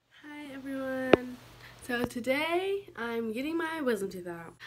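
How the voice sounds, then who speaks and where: A woman talks at a fairly slow pace while noticeable background noise sits behind her. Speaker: vlogger. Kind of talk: casual vlog chat. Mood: playful, goofy. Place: home room. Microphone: phone near.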